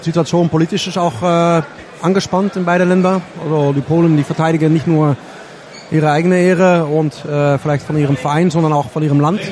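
Fairly quick speech from a man with a Dutch accent, fairly high in pitch, with fairly even intonation, very even loudness and noticeable background noise. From Netherlands. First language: Dutch (speaking German). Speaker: co-commentator. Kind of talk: live commentary.

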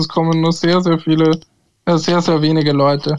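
A man's fairly high voice at a moderate pace, flat and monotone in intonation. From Austria, Tulln (Lower Austria). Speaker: football pundit. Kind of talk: casual chat. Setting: remote call.

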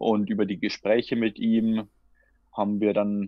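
Against a quiet background, a man of medium pitch speaks at a fairly slow pace, the sound dry and close with no echo. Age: 20s. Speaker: futsal player and master's student. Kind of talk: casual interview. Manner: halting, with repetitions and fillers.

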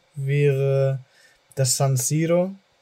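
Somewhat breathy, a man speaks with a dark, mellow tone at a fairly high pitch, his intonation fairly even. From Germany. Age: 20s. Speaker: podcast host. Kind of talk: casual chat.

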